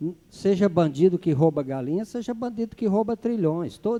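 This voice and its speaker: A man talks with lively intonation. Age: 60s. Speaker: city councillor. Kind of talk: council session debate.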